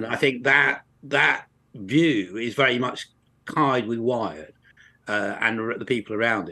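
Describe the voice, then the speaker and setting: With an English accent, a man speaks at a fairly slow pace and a medium pitch, with ordinary pitch variation and long, frequent pauses. His tone is bright and sharp, over a quiet background. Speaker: university lecturer and author. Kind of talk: interview.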